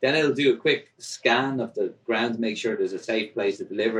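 A man with an Irish accent speaks at a moderate pace with ordinary pitch variation. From Ireland. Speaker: drone delivery company founder. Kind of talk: interview.

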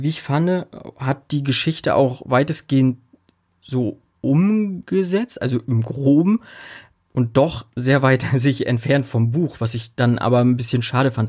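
A somewhat breathy male voice at medium pitch, fairly slow, with ordinary pitch variation. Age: 30s. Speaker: podcast host. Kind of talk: casual chat.

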